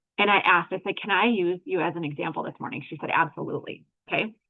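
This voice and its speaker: The pace is very fast. The intonation is lively. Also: woman. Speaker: network marketer and lab technician instructor. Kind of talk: livestream coaching session. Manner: animated.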